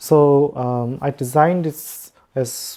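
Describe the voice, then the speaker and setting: A woman's very deep, low voice, dark and mellow in tone, with a non-native accent. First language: not English. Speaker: competition organizer. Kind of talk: online meeting presentation. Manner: halting, many fillers.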